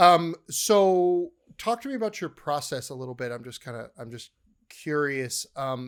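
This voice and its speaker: A man's fairly high voice with lively intonation, big swings in loudness and a moderate pace, on a very clean recording with a silent background. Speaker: podcast host and chef. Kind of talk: casual chat. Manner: excitable, gets loud.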